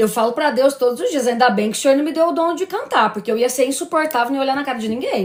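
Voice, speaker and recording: A woman's high-pitched, animated voice at a very fast pace, with very wide pitch swings. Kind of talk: religious live stream talk. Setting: live stream.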